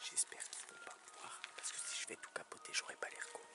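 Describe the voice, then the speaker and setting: Someone whispers at a fairly quick pace while music plays in the background. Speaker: vlogger. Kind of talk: casual vlog narration. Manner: soft-spoken.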